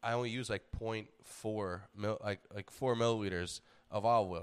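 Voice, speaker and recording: A man with an American accent has a normal speaking voice, fairly low in pitch with fairly even intonation. The recording is very clean, with a silent background. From New York. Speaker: comedian and fitness podcast host. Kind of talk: casual chat.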